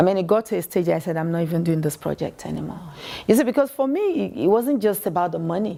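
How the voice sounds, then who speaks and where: Talking very fast, a woman with a fairly low pitch uses lively intonation and a dark, mellow tone. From Nigeria. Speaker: fashion entrepreneur. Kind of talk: interview.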